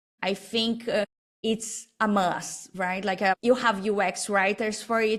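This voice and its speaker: A woman with a Portuguese accent, medium pitch and a monotone, flat intonation at a fairly slow pace. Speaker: designer and business owner. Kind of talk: interview. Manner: halting.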